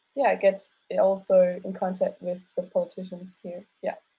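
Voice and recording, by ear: A woman speaks at a moderate pace with a medium pitch. Her tone is dark and mellow, with a slightly husky edge.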